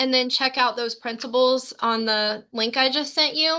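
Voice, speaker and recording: A woman with an American accent uses a raised, projected voice with a bright, sharp tone and high pitch. She speaks at a moderate pace against a quiet background. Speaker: sales team leader and trainer. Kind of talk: training session. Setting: video call.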